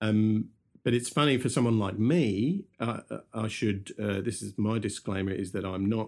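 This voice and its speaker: This voice has a London accent. Its pitch moves in an ordinary way. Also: man. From London, England. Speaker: podcast co-host, media professional. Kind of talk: casual chat.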